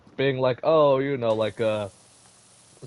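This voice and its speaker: Background noise is noticeable. The intonation stays fairly even. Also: man. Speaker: gaming streamer. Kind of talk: casual chat.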